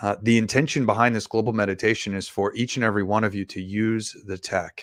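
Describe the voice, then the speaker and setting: Talking at a very fast pace, a man uses a fairly low pitch and fairly even intonation on a very clean recording with a silent background. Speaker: meditation guide and livestream host. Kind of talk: live stream announcement. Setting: live stream. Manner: soft and subdued, relaxing. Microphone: microphone held very close to mouth.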